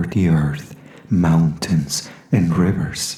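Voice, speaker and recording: Over noticeable background noise, a woman speaks very slowly in a calm, very deep, low voice with ordinary pitch variation. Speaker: voice actor. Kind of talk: poetry reading. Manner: calm, slow.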